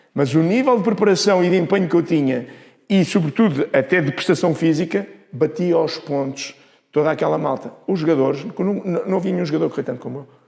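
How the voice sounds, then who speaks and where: A man at a very fast pace, high-pitched, with a Lisbon accent and a dark, mellow tone. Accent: European Portuguese, Lisbon. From Portugal, Lisbon. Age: 60s. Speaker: former football referee and coaching instructor. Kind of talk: interview. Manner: animated.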